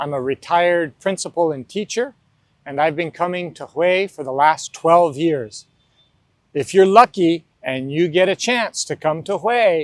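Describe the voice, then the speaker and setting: The speaker is a man with a high pitch. His sound is dry and close, without echo. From US, New Mexico. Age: 60s. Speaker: retired school principal. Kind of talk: interview.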